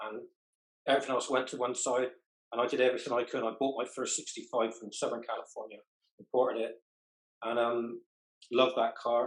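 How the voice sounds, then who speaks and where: A man at a fairly quick pace with monotone, flat intonation and long, frequent pauses. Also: medium pitch for a man. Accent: West Country. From southwest England. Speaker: car club member. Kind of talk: group interview.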